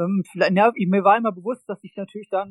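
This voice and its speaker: Ordinary pitch variation runs through a man's speech, delivered at a moderate pace. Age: 30s. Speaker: football coach. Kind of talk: interview.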